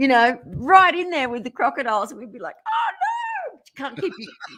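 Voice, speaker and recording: A voice with an Australian accent swings very widely in pitch. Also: woman. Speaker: motivational speaker, former singer. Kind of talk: radio interview.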